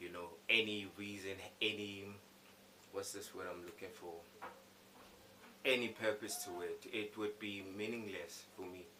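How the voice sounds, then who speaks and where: A man with a fairly low pitch talks at a moderate pace in a flat monotone, his loudness swinging widely, with long, frequent pauses, audible room echo and noticeable background noise. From South Africa, Soweto. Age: 20s. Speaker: rapper and singer. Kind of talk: interview answers. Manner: hesitant, with restarts.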